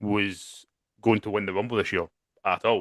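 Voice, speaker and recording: A man with a Scottish accent speaks at a moderate pace in a bright, sharp tone, with a dry, close sound with no echo and a quiet background. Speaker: wrestling podcast co-host. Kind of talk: casual chat. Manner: animated, with frequent fillers and restarts.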